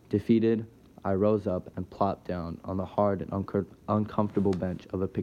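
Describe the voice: Fairly even intonation in plain reading aloud.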